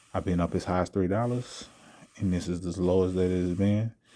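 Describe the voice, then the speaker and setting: The speaker is soft-spoken with a dark, mellow tone. The pace is fairly quick and the intonation fairly even. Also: man. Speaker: trading video creator. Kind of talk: live trading commentary. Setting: at home late at night.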